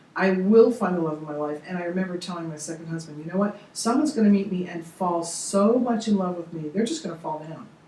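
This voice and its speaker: A woman with a fairly low voice rushes along at a very fast pace with hardly any pauses and big swings in loudness, over noticeable background noise. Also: ordinary pitch variation. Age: 60s. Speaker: motivational speaker and coach. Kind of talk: interview. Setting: studio.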